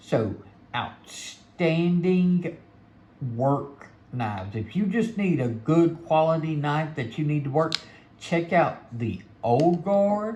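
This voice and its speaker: In a Mississippi accent, a man with a fairly high voice talks very slowly and with lively intonation, with audible room echo around him. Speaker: knife reviewer. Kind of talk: product review. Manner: casual, conversational.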